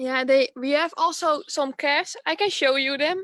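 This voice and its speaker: A woman is speaking. She talks with a Dutch accent. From Netherlands. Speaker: dairy farmer's child running an ice cream business. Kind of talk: video interview. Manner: halting, searching for words.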